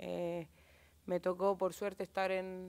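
A woman speaks at medium pitch and a fairly slow pace, in a monotone, flat intonation. The background is quiet. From Chile. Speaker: footballer. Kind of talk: press conference. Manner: halting. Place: hall. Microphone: podium.

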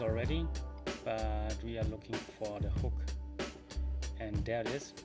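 Loud music plays in the background. Over it, a man speaks at a fairly slow pace. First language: German. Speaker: tutorial maker. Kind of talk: software tutorial narration. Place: home room. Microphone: webcam.

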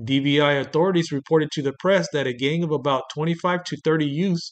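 This man has an unremarkable speaking voice, pitched fairly high. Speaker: true-crime narrator. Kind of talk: true-crime narration, scripted documentary-style. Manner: measured, deadpan, grave; formal, steady storytelling pace.

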